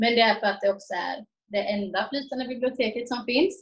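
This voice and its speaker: This is a woman's voice. Her pitch is high, with ordinary variation. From Sweden, Jönköping. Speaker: missionary volunteer. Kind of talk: interview testimony.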